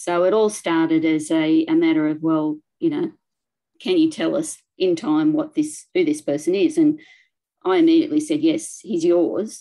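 A woman with an Australian accent talks at a moderate pace in a dark, mellow tone, with very wide pitch swings against a quiet background. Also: medium pitch for a woman. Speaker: local studies librarian; presenter. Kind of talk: presentation. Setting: video call. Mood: warm, enthusiastic storytelling. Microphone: video call.

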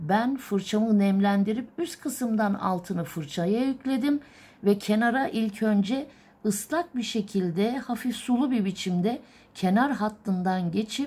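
At a fairly slow pace, this woman talks with a somewhat breathy quality. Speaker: illumination artist teacher. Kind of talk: tutorial. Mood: calm, patient. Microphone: phone near.

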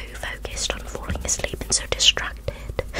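The woman here is soft-spoken. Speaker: ASMR creator. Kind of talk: soft roleplay talk to viewer. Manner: soft close-mic ASMR voice. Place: home room.

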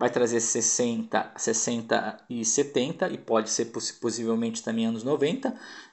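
This man has an ordinary speaking voice with a medium pitch. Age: 40s. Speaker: home video label presenter. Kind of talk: product presentation. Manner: casual, with frequent fillers.

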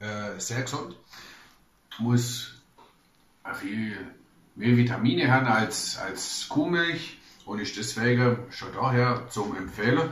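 With audible room echo, a man talks at a very slow pace and ordinary pitch variation. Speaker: travel blogger. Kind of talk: casual talk to camera, food tasting. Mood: relaxed, humorous. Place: home room. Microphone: camera far.

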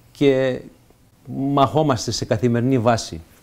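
A fairly slow pace in a man's dark, mellow tone. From Canada, Montreal, Greek immigrant family; Canada. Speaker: senator. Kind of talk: interview. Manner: halting, frequent fillers and repetitions. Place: home room.

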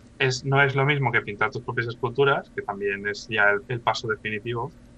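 A man speaks in a medium pitch with a bright, sharp tone. The sound is dry with no echo, and pitch variation is ordinary. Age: 30s. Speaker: professional miniature painter; interview guest. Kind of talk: casual interview chat. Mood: calm, explanatory. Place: home room. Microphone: video call.

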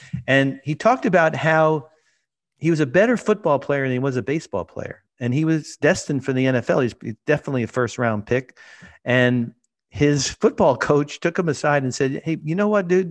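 A man with an American accent talks at a moderate pace in a fairly high pitch, his intonation lively against a quiet background. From New York, Brooklyn; New York. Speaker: sports photographer; podcast guest. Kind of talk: casual interview. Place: home room. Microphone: studio mic.

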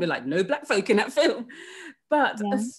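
Over a quiet background, a woman talks at a very fast pace in a somewhat breathy, fairly high voice with very wide pitch swings. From Sussex, southern England; southern England. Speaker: author; guest. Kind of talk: interview conversation. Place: home room.

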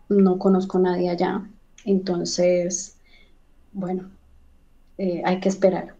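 A woman speaks very slowly, with long, frequent pauses. Her dark, mellow tone stays monotone and flat. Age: 30s. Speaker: recent migrant, job seeker; interview guest. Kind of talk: interview testimony. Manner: hesitant, many fillers. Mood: calm, somewhat worried. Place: home room. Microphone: video call.

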